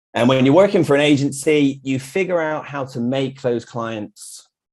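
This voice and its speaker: On a very clean recording with a silent background, a man speaks at a medium pitch with a British accent. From UK. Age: 40s. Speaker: graphic designer. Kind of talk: meetup talk with slides.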